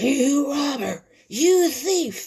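Using a put-on character voice, a woman speaks at a very slow pace, high-pitched and shrill yet slightly mellow in tone, with big pitch swings.

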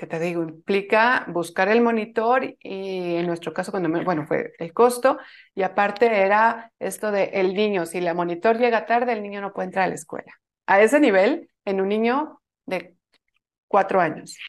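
Against a quiet background, a woman with a Mexican accent speaks at a medium pitch with ordinary pitch variation. She keeps a moderate pace. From Mexico. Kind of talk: interview.

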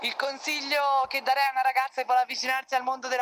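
A woman with a Tuscan accent speaks over noticeable background noise. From Tuscany, province of Florence (Figline Valdarno). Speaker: professional volleyball player. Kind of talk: interview.

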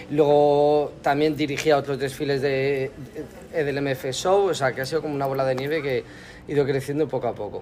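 A man with a fairly high pitch speaks at a fairly quick pace. His intonation is monotone and flat. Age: 30s. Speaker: makeup artist. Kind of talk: interview.

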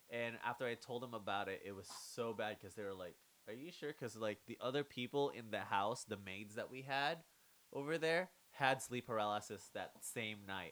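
An ordinary speaking voice with ordinary pitch variation, at a moderate pace. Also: man, medium pitch for a man. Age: 20s. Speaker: podcast host. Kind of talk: casual chat.

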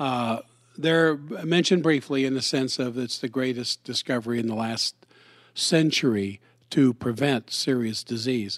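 In a dry, close sound with no echo on a very clean recording with a silent background, a man with an unremarkable speaking voice talks at a medium pitch and moderate pace with ordinary pitch variation. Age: 60s. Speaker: doctor and podcast host. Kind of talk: casual co-hosted health talk.

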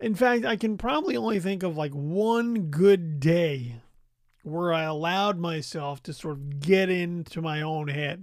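In a very clean recording with a silent background, a man speaks at a high pitch and a fairly slow pace. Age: 40s. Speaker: podcast host. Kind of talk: reflective solo monologue. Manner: halting, many fillers.

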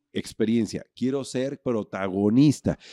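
In a dry, close recording with no echo and a quiet background, a man with a dark, mellow tone and medium pitch speaks at a fairly slow pace with fairly even intonation. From Mexico. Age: 50s. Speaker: hotelier. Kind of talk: interview.

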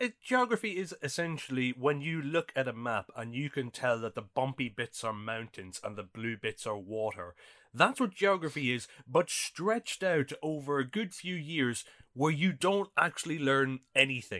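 In a very clean recording with a silent background and a dry, close sound with no echo, a man with an Irish accent and a bright, sharp tone talks at a moderate pace with very wide pitch swings. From Ireland. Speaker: podcast co-host. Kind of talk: casual chat.

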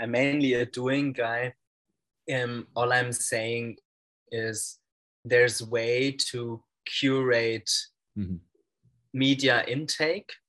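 With long, frequent pauses and a very slow pace, a man talks at a medium pitch with fairly even intonation. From Germany, Franconia. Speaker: organizational strategist and network builder. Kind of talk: interview conversation.

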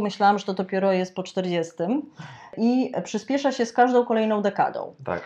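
A woman with a medium-pitched, dark, mellow voice speaks at a moderate pace against a quiet background. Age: middle-aged. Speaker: podcast host. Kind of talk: interview. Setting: studio.

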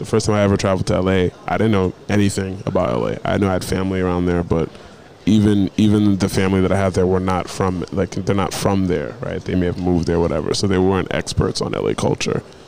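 Speaking at a very fast pace, a man with an American accent has a very deep, low pitch and ordinary pitch variation. Noticeable background noise runs underneath. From US Northeast (New England). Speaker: podcast host. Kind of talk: casual chat. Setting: hotel mezzanine in Lagos. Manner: animated.

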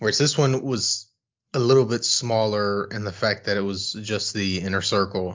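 This is a man with an unremarkable speaking voice and fairly low pitch. He keeps a moderate pace and fairly even intonation. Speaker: podcast co-host. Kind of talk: casual chat.

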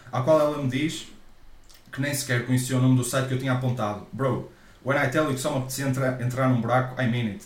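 Over audible room echo, a man with a European Portuguese accent talks at a medium pitch and a very fast pace in monotone, flat intonation. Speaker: podcast co-host. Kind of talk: casual chat.

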